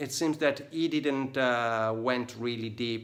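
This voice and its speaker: A man speaks with an Italian accent at medium pitch. His pace is fairly slow. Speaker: tattoo artist. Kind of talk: casual vlog book review. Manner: halting, many fillers.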